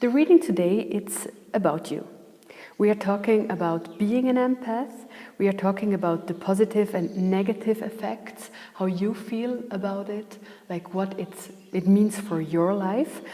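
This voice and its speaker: A woman's fairly slow speech in a non-native accent, with ordinary pitch variation and noticeable background noise. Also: medium pitch for a woman. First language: not English. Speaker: tarot reader. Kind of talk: tarot reading.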